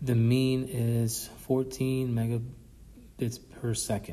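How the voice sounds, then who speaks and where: Somewhat breathy and dark and mellow in tone, a man's medium-pitched voice carries audible room echo. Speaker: statistics professor. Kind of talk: recorded lecture review.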